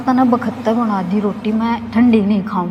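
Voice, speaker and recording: A woman with a Haryana accent, a fairly high pitch, and fairly even intonation, over noticeable background noise. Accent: Haryanvi. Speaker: Haryanvi stage actress. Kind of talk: storytelling interview answer.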